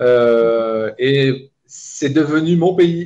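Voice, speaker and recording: A man's voice, fairly high in pitch. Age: 50s. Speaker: activist. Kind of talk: video call interview.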